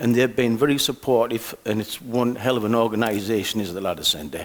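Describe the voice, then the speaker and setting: A man at a fairly quick pace, medium pitch and ordinary pitch variation, over noticeable background noise. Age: 60s. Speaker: community commissioner sharing lived experience. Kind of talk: personal testimony. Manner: halting, with hesitations and self-corrections.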